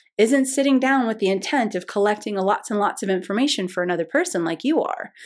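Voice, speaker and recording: On a very clean recording with a silent background, a woman talks at a moderate pace. Her fairly high voice swings very widely in pitch. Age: 50s. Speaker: intuition teacher. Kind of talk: lesson.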